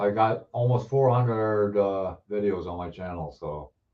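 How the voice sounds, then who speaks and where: A man speaks with an Ontario accent. His pitch is fairly low. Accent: Canadian (Ontario). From Ontario, Canada (Hamilton). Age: 60s. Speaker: model car builder, live streamer. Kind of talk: casual live chat reading viewer comments. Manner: halting, many fillers and restarts.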